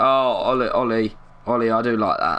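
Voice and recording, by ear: Speaking at a fairly slow pace with an East London accent, a man uses ordinary pitch variation and a bright, sharp tone.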